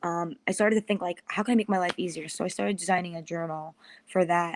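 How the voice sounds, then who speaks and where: Over a silent background on a very clean recording, a woman with a New York accent talks at a fairly quick pace. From US Northeast, Long Island, New York. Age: 20s. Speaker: podcast host and media strategist. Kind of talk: interview.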